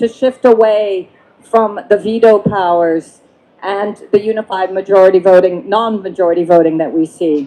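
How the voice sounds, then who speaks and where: A woman talks at a moderate pace and medium pitch in a dark, mellow tone with ordinary pitch variation. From France/Belgium. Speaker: climate policy expert, panelist. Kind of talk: panel discussion.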